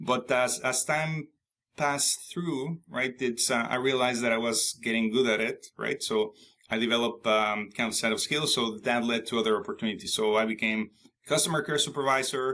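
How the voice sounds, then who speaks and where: A man with a Spanish accent talks at a moderate pace in a medium pitch, with ordinary pitch variation, very even loudness and a bright, sharp tone. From Mexico. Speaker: IT consultant and author. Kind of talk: interview. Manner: halting, many fillers and restarts.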